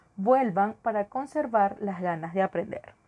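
Dry and close with no echo, a woman's voice moves at a fairly slow pace with lively intonation over a quiet background. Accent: Venezuelan. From Venezuela. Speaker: podcast host and teacher. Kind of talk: podcast monologue on education.

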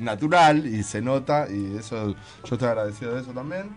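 A man at a fairly slow pace with ordinary pitch variation, music playing in the background. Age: 40s. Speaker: band musician. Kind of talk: interview.

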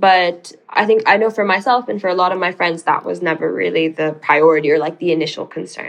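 Talking at a fairly quick pace with hardly any pauses, a woman with an American accent shows vocal fry and ordinary pitch variation. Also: fairly low pitch for a woman. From Sudanese American. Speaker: policy researcher. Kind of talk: casual interview.

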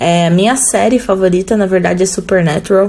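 Noticeable background noise runs under the speech. The pace is moderate and the intonation fairly even. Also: woman. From Jundiaí, São Paulo state, Brazil. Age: 30s. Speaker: rock guitarist. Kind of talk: recorded interview answers.

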